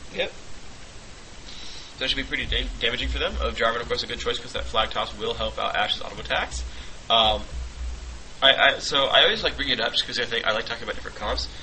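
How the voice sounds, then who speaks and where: A man talks quietly at a very fast pace, with noticeable background noise and audible room echo. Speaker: esports commentator. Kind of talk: live commentary. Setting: studio with shared table microphone. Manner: hesitant with many fillers. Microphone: quiet, shared mic lying on table.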